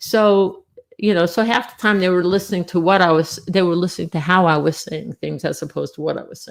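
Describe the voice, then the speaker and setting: A woman with an American accent and a fairly low pitch talks at a fairly quick pace, her intonation fairly even but her loudness swinging widely. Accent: Long Island accent, lighter than it once was. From US Northeast, Long Island, New York. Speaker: former air force security police, UFO witness. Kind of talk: interview testimony.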